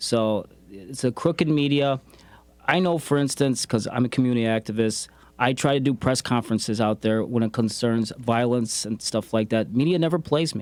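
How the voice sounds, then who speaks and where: A man with an ordinary speaking voice talks at a moderate pace in a medium pitch, with ordinary pitch variation. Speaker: community activist and radio host. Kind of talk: interview conversation.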